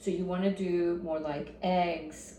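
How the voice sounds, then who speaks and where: Over noticeable background noise and audible room echo, a woman speaks in a fairly low voice with fairly even intonation. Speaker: health vlogger. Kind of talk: casual talk to camera. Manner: halting; casual, filler-heavy.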